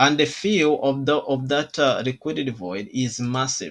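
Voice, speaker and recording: A man speaks with a non-native accent at a fairly slow pace. His pitch is medium, and the background is quiet. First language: not English. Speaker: trading educator. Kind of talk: tutorial. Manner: halting.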